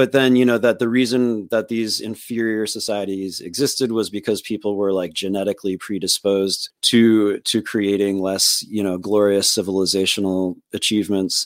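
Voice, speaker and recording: A man's fairly low, fairly even voice with hardly any pauses. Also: moderate pace. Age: 40s. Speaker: podcast host and political organizer. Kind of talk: casual interview. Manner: halting, many fillers and restarts.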